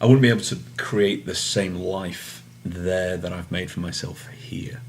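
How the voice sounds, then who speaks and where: With an American accent, a man talks in a very deep, low pitch with ordinary pitch variation, and the room echo is audible. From England, Manchester. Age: 40s. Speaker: soccer referee. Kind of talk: interview answers. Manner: hesitant, many fillers.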